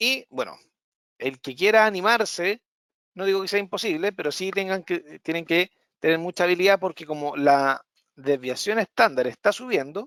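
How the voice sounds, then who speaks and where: The intonation is lively. The sound is dry and close, with no echo. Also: man, high pitch for a man. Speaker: trading analyst. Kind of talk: live market analysis webinar. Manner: fast.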